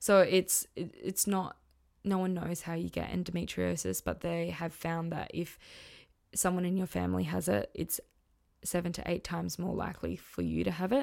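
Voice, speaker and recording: In a very clean recording with a silent background, a woman with an Australian accent speaks at a moderate pace. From Western Australia. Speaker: podcast host. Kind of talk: personal testimony monologue.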